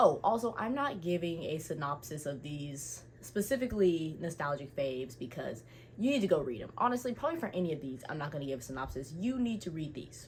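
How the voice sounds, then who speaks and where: With very wide pitch swings, a woman with a very deep, low, somewhat breathy voice talks at a fairly quick pace with hardly any pauses. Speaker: book YouTuber. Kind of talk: casual chat. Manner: fast; animated.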